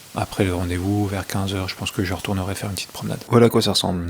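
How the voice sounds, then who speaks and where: Against noticeable background noise, a man speaks in a very deep, low pitch with monotone, flat intonation. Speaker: fitness and nutrition vlogger. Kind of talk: casual vlog monologue. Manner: hesitant, many fillers; speaking softly.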